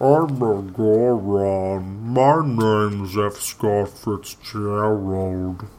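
Against a quiet background, a man puts on a character voice, pitched fairly low and delivered at a very slow pace. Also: hardly any pauses. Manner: pretend creature voice.

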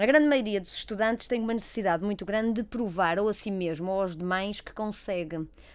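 A plain, everyday voice at a fairly quick pace, with ordinary pitch variation and hardly any pauses. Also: woman, medium pitch for a woman. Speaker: clinical psychologist. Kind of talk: casual chat. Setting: studio.

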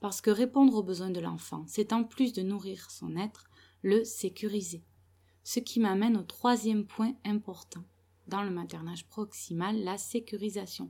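Against a silent background on a very clean recording, a soft-spoken woman talks at a medium pitch with a dark, mellow tone and fairly even intonation. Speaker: parenting blogger and mother. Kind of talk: solo podcast monologue. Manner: soft-spoken, quiet so the baby keeps sleeping; hesitant, many filler sounds.

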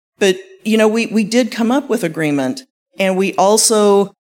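Here a woman has a plain, everyday voice, with ordinary pitch variation at a moderate pace. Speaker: panelist, university tech transfer. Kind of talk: panel discussion. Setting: live event with audience.

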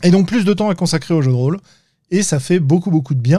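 A man's fairly high voice with a dark, mellow tone and lively intonation. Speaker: podcast host. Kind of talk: casual interview chat. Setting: live online stream.

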